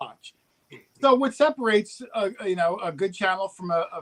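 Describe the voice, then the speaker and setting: A man talks in a New Jersey accent. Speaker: metal detecting youtuber. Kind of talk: casual chat. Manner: fast.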